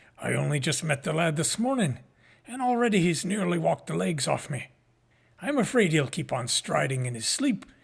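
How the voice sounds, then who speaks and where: Putting on a raspy character voice, a man talks at a fairly quick pace with a fairly high pitch. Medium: read story. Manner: warm, folksy.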